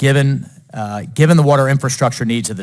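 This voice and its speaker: Speaking at a fairly quick pace in an American accent, a man uses an ordinary speaking voice at medium pitch with ordinary pitch variation. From Florida, Jacksonville. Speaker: politician. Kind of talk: committee floor speech. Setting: committee hearing room. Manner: formal.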